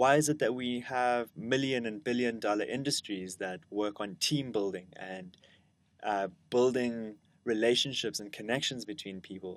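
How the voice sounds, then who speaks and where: A man with a South African accent and ordinary pitch variation. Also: medium pitch for a man, moderate pace. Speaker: educator, lecturer. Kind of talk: lecture.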